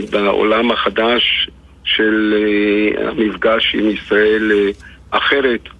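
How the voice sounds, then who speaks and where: A man speaks very slowly against noticeable background noise. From Israel, Lod; Algerian-born family. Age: 80s+. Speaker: poet. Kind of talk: radio interview. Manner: halting, repeats words.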